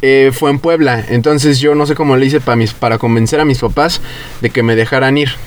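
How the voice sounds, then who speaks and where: Over noticeable background noise, a man at a medium pitch talks at a fairly quick pace with fairly even intonation and very even loudness. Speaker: podcast co-host. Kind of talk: casual chat.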